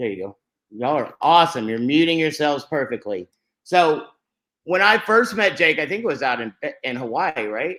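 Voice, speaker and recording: Loud and bright, a man with an American accent talks at a moderate pace with a sharp tone, a fairly high pitch and very wide pitch swings. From Texas, Fort Worth. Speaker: network marketing host. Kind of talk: online webinar presentation. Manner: animated.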